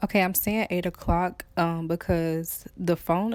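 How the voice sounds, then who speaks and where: A woman with a fairly low voice and a slight Atlanta accent talks at a fairly slow pace. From Atlanta, Georgia, US South. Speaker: YouTuber. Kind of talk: storytime vlog. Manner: trying to speak properly.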